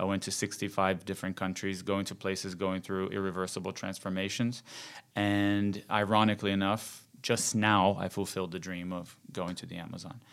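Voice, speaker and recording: A man with a Brazilian accent speaks at a fairly low pitch and a moderate pace, in a monotone, flat intonation. The recording is very clean, with a silent background. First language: Portuguese. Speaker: journalist and TV presenter. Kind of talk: casual interview conversation.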